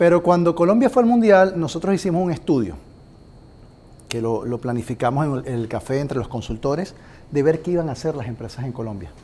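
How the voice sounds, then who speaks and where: A man with a Venezuelan accent speaks at a fairly quick pace, his fairly high voice carrying a dark, mellow tone. His pitch swings very widely. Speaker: compensation consultant. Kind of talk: business presentation.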